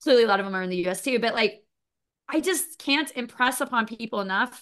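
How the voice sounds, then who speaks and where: A woman with an American accent, high-pitched and bright, sharp in tone. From US, Florida and Missouri. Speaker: insurance and digital strategy executive. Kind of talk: casual interview chat.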